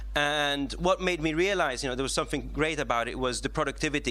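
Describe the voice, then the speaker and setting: The delivery is very fast. A man talks with audible room echo around him. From Italy, with schooling in England, US and Sweden. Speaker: software engineer, conference speaker. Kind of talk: conference talk. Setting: stage with audience. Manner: many fillers and self-corrections.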